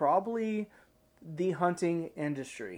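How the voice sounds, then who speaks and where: Speaking very slowly with an Ozark accent, a man has a high pitch and ordinary pitch variation. The recording is very clean, with a silent background. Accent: Ozark Southern US. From Arkansas, Ozarks. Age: 30s. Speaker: hunting content creator. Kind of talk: casual interview.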